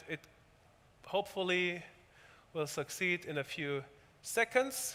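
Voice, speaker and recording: Bright and sharp in tone, a man talks at a high pitch. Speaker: tech company speaker. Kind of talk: technical demo talk. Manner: fast; halting, many repetitions.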